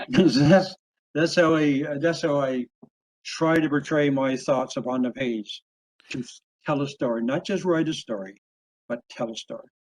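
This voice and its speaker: Recorded in dry, close sound with no echo, a man with a Newfoundland accent and fairly high pitch speaks with ordinary pitch variation and long, frequent pauses. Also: moderate pace. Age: 70s. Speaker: author and logger. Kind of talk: interview. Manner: halting.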